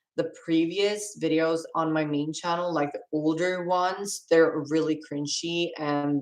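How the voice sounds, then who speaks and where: A woman's fairly low voice with a non-native accent, fairly even intonation and a fairly slow pace. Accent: non-native English accent, noticeable. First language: Swedish. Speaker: livestreamer. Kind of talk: casual chat. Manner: halting.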